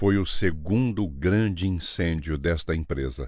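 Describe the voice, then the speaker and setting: On a very clean recording with a silent background, a man speaks at a fairly slow pace. His pitch is very deep and low, with ordinary variation. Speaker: voice actor. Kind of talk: documentary narration.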